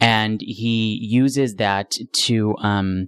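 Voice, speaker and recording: Recorded with a dry, close sound and no echo, a man speaks in a fairly low voice. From US Northeast, Rochester, New York. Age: young. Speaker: stage actor. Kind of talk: interview. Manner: articulate.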